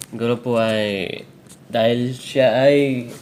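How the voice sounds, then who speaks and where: Noticeable background noise behind a male voice of medium pitch, with ordinary pitch variation. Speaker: Korean language tutor. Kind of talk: tutorial.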